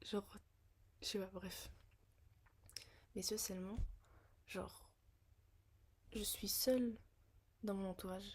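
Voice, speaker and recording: A woman with a medium pitch and a somewhat breathy voice speaks at a very slow pace in a monotone, flat intonation, leaving long, frequent pauses. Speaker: vlogger. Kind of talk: casual monologue vlog. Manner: slow, hesitant with many fillers.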